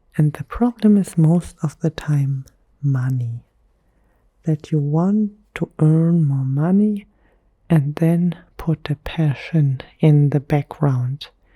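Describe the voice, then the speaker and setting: In a dry, close sound with no echo, a woman whispers, soft-spoken and somewhat breathy, at a very slow pace with long, frequent pauses. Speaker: ASMR creator. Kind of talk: whispered ASMR monologue. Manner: whispering.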